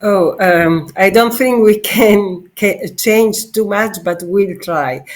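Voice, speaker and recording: With an Italian accent, a woman speaks at a very slow pace. Her medium pitch shows ordinary variation. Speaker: political candidate. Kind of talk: interview. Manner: halting.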